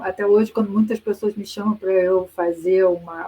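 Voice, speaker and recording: Through noticeable background noise, a woman speaks in a medium pitch with monotone, flat intonation. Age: 60s. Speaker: professor. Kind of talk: lecture. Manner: conversational with hesitations.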